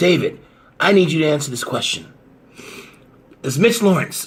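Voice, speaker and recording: Putting on a character voice, a man speaks raspy and fairly high-pitched at a moderate pace. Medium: audio drama. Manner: suspicious, earnest.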